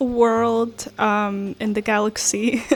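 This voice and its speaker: A woman speaks at a medium pitch and a very slow pace. Her intonation is monotone and flat, with noticeable background noise. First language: not English. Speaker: artist. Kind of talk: casual chat. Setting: kitchen at home. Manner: hesitant with many fillers.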